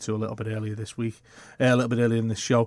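Very fast, monotone, flat delivery from a man at medium pitch, in a dry, close sound with no echo. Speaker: stand-in football podcast host. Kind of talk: casual sports chat.

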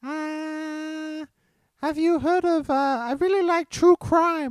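A squeaky, high-pitched put-on character voice at a very slow pace. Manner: playful.

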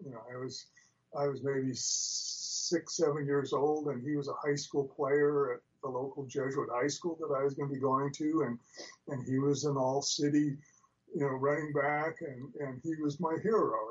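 A man with an American accent, fairly high-pitched, speaking at a moderate pace in a flat monotone. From Spokane, Washington, US Northwest. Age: 70s. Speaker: former pro football player and retired professor, author. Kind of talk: interview, conversational storytelling.

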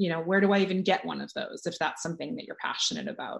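Speaking in a medium pitch with vocal fry, a woman with an American accent is heard over a quiet background. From California. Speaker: author and coach. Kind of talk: casual interview chat.

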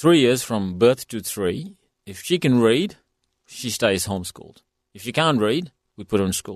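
A man with a non-native accent speaks at a medium pitch and a moderate pace, with lively intonation and big swings in loudness. The sound is dry and close with no echo, against a quiet background. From India. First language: not English. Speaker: sports executive. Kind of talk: interview.

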